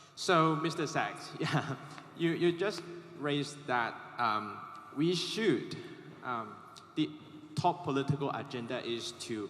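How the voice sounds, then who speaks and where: A fairly high-pitched man at a very slow pace, with ordinary pitch variation, long, frequent pauses and noticeable background noise. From Hong Kong. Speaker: student audience member asking a question. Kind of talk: audience question at panel.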